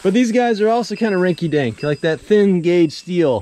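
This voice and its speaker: Dry and free of echo, a man's dark, mellow voice moves at a moderate pace with lively intonation. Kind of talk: casual vlog chat. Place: open country. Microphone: phone near.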